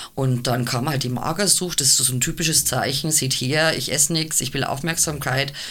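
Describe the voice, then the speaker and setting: Hardly any pauses at a moderate pace, fairly even intonation, audible room echo and noticeable background noise. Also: woman, very deep, low pitch for a woman. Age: 50s. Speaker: cabaret artist and double bassist. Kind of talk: casual chat.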